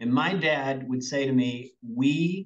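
A man speaks with a Southern US accent. His pitch is medium and varies in an ordinary way. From US South, Arkansas. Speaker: business executive. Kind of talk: interview. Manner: energetic.

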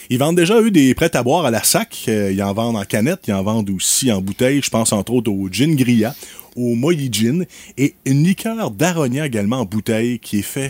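Using a normal speaking voice, a man talks at a fairly quick pace with a medium pitch and lively intonation. The sound is dry and close, with no echo. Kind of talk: casual radio chat.

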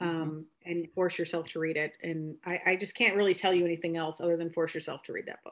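The speaker has a US Midwestern accent. The recording is very clean, with a silent background. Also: woman. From rural Iowa, Buchanan County. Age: 40s. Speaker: beauty artist and conference organizer. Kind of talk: casual interview chat.

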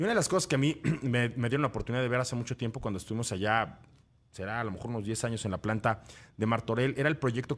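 A man with a Mexican accent talks at a very fast pace. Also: quiet background. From Mexico, Cuernavaca. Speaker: radio host. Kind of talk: casual chat.

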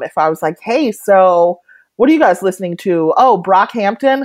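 Against a quiet background, a woman with a medium pitch speaks in a normal speaking voice with lively intonation. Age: 40s. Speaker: humor writer and essayist. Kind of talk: casual interview.

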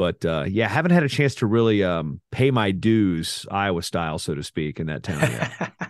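Very deep and low, a man's voice swings very widely in pitch at a moderate pace with hardly any pauses. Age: 40s. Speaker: wrestling announcer and broadcaster. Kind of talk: casual interview chat.

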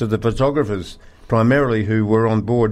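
In a normal speaking voice, a man talks at a medium pitch with fairly even intonation. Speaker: radio co-presenter. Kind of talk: casual radio chat. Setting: studio.

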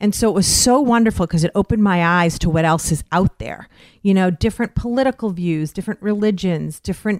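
In a very clean recording with a silent background and a dry, close sound with no echo, a woman uses an ordinary speaking voice at medium pitch, talking at a fairly quick pace with ordinary pitch variation. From Western Massachusetts (Westfield). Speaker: radio host. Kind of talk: casual interview chat.

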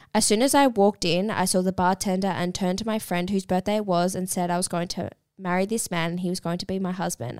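A woman with an Australian accent at a medium pitch, fairly quick in pace and fairly even in intonation, in a dry, close sound with no echo and a very clean recording with a silent background. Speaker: podcast co-host. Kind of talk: casual chat. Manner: quieter than co-host.

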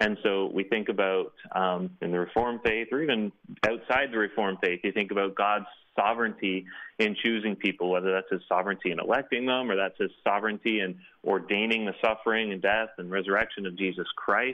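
A normal speaking voice from a man with a Canadian accent, fairly low in pitch, at a fairly quick pace with fairly even intonation. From Canada. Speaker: author and blogger. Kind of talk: interview.

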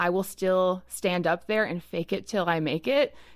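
In a very clean recording with a silent background, a woman talks at a moderate pace with a fairly low pitch. She has an ordinary speaking voice and ordinary pitch variation. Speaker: roundtable guest. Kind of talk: casual chat.

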